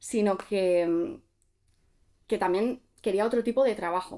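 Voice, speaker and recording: The background stays quiet. A woman talks. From Basque Country (Gipuzkoa), Spain; Basque Country, Spain. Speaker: content creator. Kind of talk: casual interview chat. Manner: hesitant, many fillers. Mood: relaxed, reflective. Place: studio.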